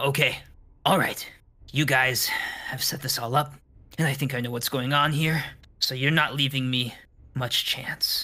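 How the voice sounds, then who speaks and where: A man with a raspy, fairly high-pitched voice does a put-on character voice, leaving long, frequent pauses. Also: moderate pace. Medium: actual play. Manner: smooth, controlled.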